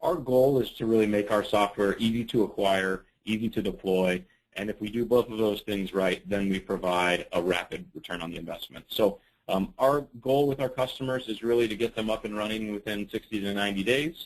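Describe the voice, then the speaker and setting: An ordinary speaking voice from a man, fairly low in pitch, fairly quick, with ordinary pitch variation. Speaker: software partner program manager. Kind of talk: webinar presentation. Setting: webinar.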